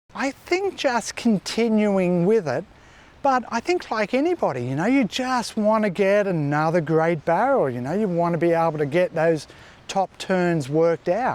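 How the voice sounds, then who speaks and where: The intonation is lively. The pace is moderate. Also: man, high pitch for a man. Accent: Australian. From New South Wales, Australia. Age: 50s. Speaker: surfer. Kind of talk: interview answer.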